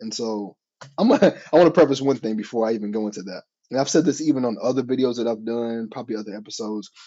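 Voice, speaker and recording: Excited and very fast, a man speaks at a medium pitch with ordinary pitch variation and big swings in loudness. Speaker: podcast host. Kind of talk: casual monologue. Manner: excited, sometimes trips over words.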